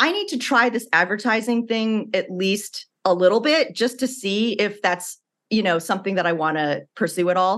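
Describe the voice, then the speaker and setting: A woman with an American accent talks at a moderate pace and medium pitch, with ordinary pitch variation and hardly any pauses, an unremarkable speaking voice. The background is quiet. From US Midwest, Illinois. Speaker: former TV writer and author. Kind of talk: casual interview chat.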